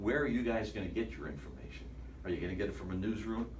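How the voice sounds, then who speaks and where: This man's voice has a very deep, low pitch. Audible room echo surrounds it. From northeastern Ohio. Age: 60s. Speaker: sports anchor. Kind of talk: talk to students.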